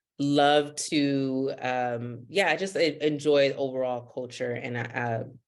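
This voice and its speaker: In a Haitian accent, a woman speaks at a very slow pace with hardly any pauses. Her pitch is very deep and low, and her intonation fairly even. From US, Miami, Florida (North Miami, Haitian community). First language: Haitian Creole. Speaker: investment coach. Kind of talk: podcast interview.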